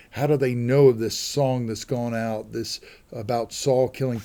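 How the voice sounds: The speaker uses a natural reading voice, keeping the intonation fairly even.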